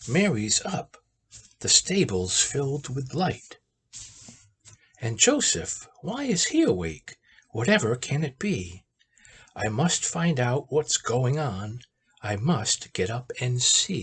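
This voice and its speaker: In a put-on character voice, the speaker leaves long, frequent pauses. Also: man, medium pitch for a man, fairly slow pace. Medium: read story.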